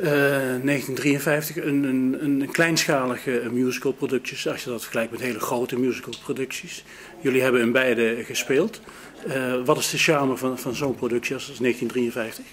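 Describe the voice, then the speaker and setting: Light background noise sits under a man's voice. He talks at a moderate pace with fairly even intonation. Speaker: interviewer. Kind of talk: backstage interview. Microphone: phone near.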